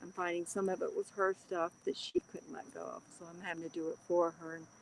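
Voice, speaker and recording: At a medium pitch and moderate pace, a woman talks in an unremarkable speaking voice. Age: 60s. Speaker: livestream host, card reader. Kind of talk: casual livestream chat reading comments. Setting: livestream.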